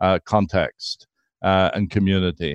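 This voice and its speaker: A man at a fairly slow pace, dry and close with no echo, over a quiet background. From Canada (Irish Canadian). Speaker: intercultural ministry consultant. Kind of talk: interview. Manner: hesitant, many fillers.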